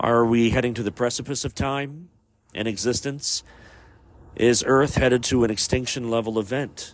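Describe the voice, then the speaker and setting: An unremarkable speaking voice from a man, medium in pitch, fairly even in intonation, at a moderate pace. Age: 40s. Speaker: podcast host. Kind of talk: solo podcast monologue.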